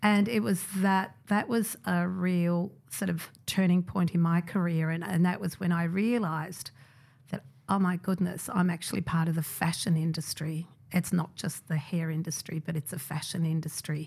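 This woman has a fairly low pitch and an Australian accent, her voice somewhat breathy. She talks at a moderate pace with fairly even intonation. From migrant family, raised in Australia. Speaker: hairdresser and creative director. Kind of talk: interview.

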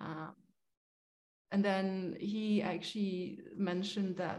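A woman's medium-pitched, somewhat breathy voice in a Polish accent, dark and mellow in tone, at a very slow pace. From Poland. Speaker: agricultural accountant. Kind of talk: interview. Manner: hesitant, many fillers.

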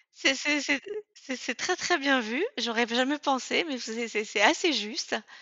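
A woman speaks very slowly in a high pitch, with hardly any pauses. Her intonation is lively. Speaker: author and former executive. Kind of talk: interview. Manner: halting, many fillers.

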